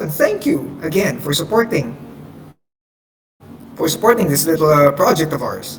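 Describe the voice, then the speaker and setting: This man speaks at a moderate pace with a non-native accent. His pitch is high and his intonation lively. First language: not English. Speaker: amateur radio host. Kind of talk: casual radio show hosting. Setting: online voice chat server. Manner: halting, many fillers.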